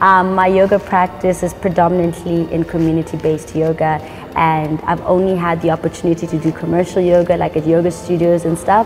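A woman's fairly low, monotone, flat voice at a moderate pace with hardly any pauses, clear music in the background. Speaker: yoga teacher. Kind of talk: interview answer. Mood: warm, calm. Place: gym.

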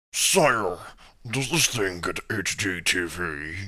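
Raspy and very deep in pitch, a man speaks with lively intonation. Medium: fan dub. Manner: childish, excitable.

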